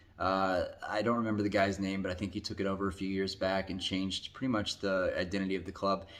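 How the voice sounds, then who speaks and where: Fairly quick and fairly even in intonation, a man speaks with an American accent at a fairly low pitch. He has a plain, everyday voice. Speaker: football YouTuber. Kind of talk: casual commentary ranking video. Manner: casual, filler-heavy.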